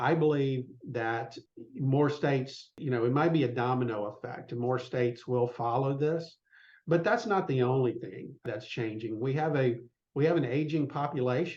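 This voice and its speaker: A man with a Southern US accent, medium-pitched, at a moderate pace with ordinary pitch variation. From US South, south Mississippi. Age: 60s. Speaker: business consultant for law firms. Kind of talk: podcast interview. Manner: conversational, many fillers.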